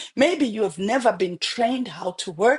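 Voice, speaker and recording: A woman speaks in a fairly high pitch with an animated tone and very wide pitch swings. The sound is dry and close, with no echo. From Zimbabwe. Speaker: pastor. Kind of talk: motivational sermon.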